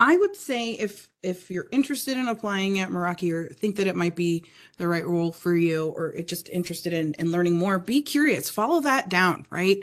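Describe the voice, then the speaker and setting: This woman talks at a fairly quick pace with hardly any pauses and lively intonation. Hers is a normal speaking voice at a medium pitch. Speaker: sales account manager. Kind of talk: casual podcast interview. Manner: articulate, polished.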